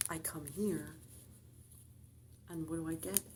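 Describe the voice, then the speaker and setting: A soft-spoken woman's very deep, low voice at a moderate pace, with lively intonation, noticeable background noise and audible room echo. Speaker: tarot reader. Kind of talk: tarot reading. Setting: library.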